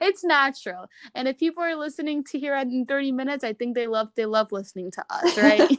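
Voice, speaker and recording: A woman speaks with a high pitch and lively intonation at a very fast pace. The sound is dry and close, with no echo. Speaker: podcast guest sharing mental health story. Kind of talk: casual interview. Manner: halting; mumbling.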